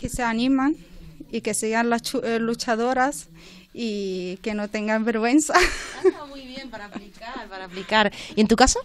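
A woman's fairly high voice at a fairly slow pace, with ordinary pitch variation, big swings in loudness, long, frequent pauses and light background noise. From Morocco. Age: 20s. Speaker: workshop participant. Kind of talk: radio interview. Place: studio.

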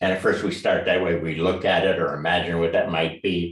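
A somewhat breathy man against a quiet background with audible room echo. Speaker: martial arts teacher. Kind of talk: lecture. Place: home room. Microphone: video call.

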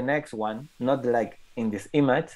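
A man speaks with a Spanish accent in a dark, mellow tone. The background is quiet. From Catalonia, Spain. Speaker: photographer. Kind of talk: presentation. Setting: video call. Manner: halting. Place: home room. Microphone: earbuds.

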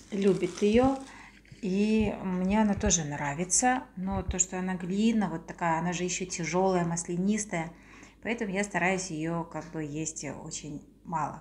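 Against light background noise, a woman speaks slightly breathily at a fairly slow pace with ordinary pitch variation. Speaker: vlogger. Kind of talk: casual vlog chat. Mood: warm, cheerful. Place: home room. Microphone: phone near.

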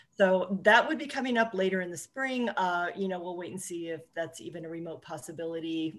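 Woman with a normal speaking voice, fairly low-pitched, at a fairly quick pace. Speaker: college administrator. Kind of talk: formal meeting. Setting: video call. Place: home room. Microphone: webcam.

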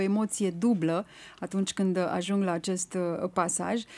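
Her voice sitting at medium pitch, a woman speaks at a moderate pace. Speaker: radio host. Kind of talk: radio interview. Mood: warm, respectful. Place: studio. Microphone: studio mic.

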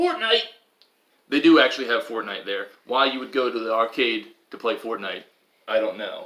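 His volume rising and falling sharply, a man speaks at a fairly quick pace. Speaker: family vlogger. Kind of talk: casual vlog chat. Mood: playful, upbeat. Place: home room. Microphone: camera far.

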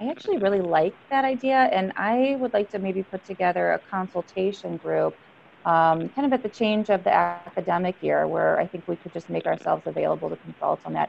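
A woman at a fairly quick pace over light background noise. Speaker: psychologist association leader. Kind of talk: group discussion remarks. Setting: video call. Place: office. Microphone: earbuds.

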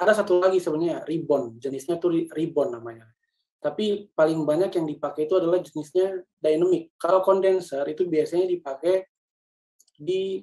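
Over a quiet background, a man speaks fairly quickly in a high pitch with a dark, mellow tone. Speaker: communication trainer, church media producer; trainer. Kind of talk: lecture. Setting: video call. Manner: fast. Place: home room. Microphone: webcam.

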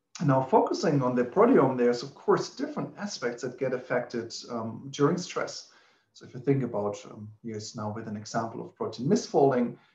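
At a fairly quick pace, a man speaks with ordinary pitch variation and audible room echo. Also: big swings in loudness. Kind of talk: lecture. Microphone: webcam.

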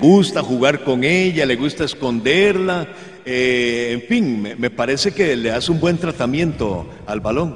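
With an ordinary speaking voice, a man talks at a fairly slow pace in a fairly high pitch with lively intonation. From Costa Rica. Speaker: sports reporter. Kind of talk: interview. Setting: outdoors at a plaza. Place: open country. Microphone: handheld.

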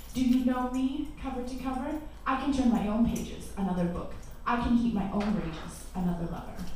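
A woman talks at a fairly quick pace in a high voice. Light background noise and strong room echo surround her. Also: ordinary pitch variation. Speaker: spoken word poet. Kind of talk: spoken word poetry performance. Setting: live cafe event. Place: cafe.

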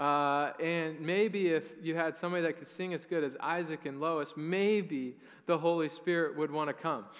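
Against a quiet background, a man speaks at a moderate pace in a high voice with fairly even intonation. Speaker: pastor. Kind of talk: sermon. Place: church. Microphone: headset.

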